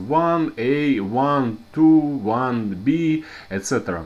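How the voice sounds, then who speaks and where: With a strong Russian accent, a man speaks at a medium pitch using lively intonation. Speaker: programming teacher. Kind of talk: tutorial. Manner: halting, many fillers and restarts.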